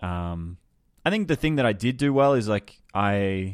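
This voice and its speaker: Against a quiet background, a man speaks with an Australian accent at a fairly low pitch. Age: 20s. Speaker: creative business coach. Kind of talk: casual interview chat.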